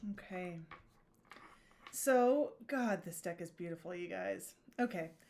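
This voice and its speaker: A quiet woman at a medium pitch speaks at a fairly slow pace with lively intonation and big swings in loudness. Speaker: tarot reader. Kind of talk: tarot reading video. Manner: pensive, reacting in the moment.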